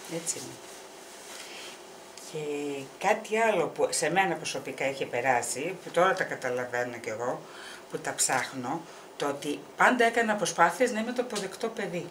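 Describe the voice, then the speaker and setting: A woman's fairly low voice with very wide pitch swings, a moderate pace, long, frequent pauses and noticeable background noise. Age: 60s. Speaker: mother sharing personal experience. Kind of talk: casual chat.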